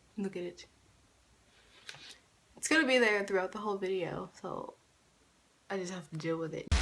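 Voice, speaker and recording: With noticeable background noise, a woman speaks at a moderate pace and a medium pitch, with ordinary pitch variation. Her loudness swings widely, and she takes long, frequent pauses. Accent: American. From United States. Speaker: YouTuber. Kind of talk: casual talk to camera.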